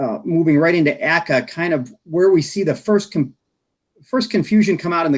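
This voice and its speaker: The man speaks at a fairly quick pace, his pitch fairly high for a man and his intonation lively. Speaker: health insurance industry expert. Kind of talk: presentation at online meeting. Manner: fast; mumbling.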